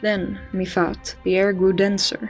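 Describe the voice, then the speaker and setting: Music plays in the background as a woman at medium pitch speaks at a fairly slow pace. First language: not English. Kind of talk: poetry reading.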